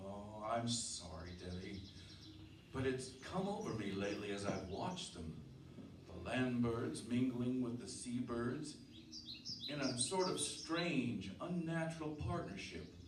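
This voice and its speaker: A man speaks at a medium pitch with very wide swings up and down. Noticeable background noise runs underneath. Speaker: radio drama actor playing the lead character. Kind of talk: old-time radio drama performance and first-person narration. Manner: brooding, foreboding, thoughtful.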